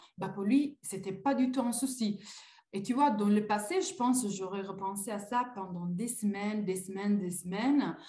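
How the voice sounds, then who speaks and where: A woman with an Italian accent speaks at a moderate pace in a medium pitch, somewhat breathy, with a dark, mellow tone and ordinary pitch variation. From Italy. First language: Italian (speaking French). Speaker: coaching client. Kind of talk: testimony. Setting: live video call. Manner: hesitant, many fillers.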